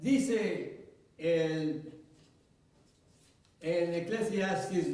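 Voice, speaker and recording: With ordinary pitch variation, a man's voice runs high in pitch. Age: 80s+. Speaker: pastor. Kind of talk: sermon.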